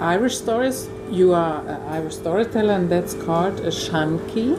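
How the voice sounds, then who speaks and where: Over noticeable background noise, a woman talks at a moderate pace in a fairly low pitch with ordinary pitch variation. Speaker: interviewer. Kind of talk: interview questions.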